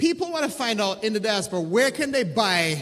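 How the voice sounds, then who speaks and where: A man's voice carries audible room echo. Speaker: diaspora community leader. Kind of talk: conference panel talk. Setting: stage with audience.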